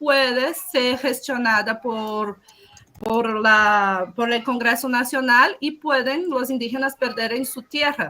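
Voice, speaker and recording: A woman's high, bright, sharp voice moves at a fairly slow pace. Her pitch varies in an ordinary way. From Brazil, Amazon rainforest region. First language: Portuguese (speaking Spanish). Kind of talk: panel talk.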